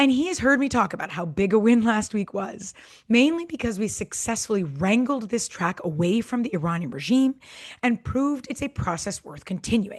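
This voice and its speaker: A woman's somewhat breathy, fairly high voice at a moderate pace, with very wide pitch swings. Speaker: podcast co-host; former government official, peace advocate. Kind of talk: podcast discussion.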